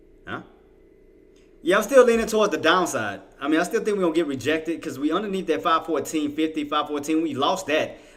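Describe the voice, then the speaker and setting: Talking at a very fast pace over noticeable background noise, a man with a fairly high voice uses lively intonation. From Louisiana. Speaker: day trader and livestream host. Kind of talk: live trading commentary with chat. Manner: casual, conversational.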